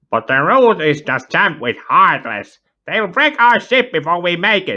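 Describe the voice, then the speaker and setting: In a put-on character voice, the speaker keeps a moderate pace while the pitch swings very widely. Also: man, high pitch for a man. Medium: read story. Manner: excitable, loud.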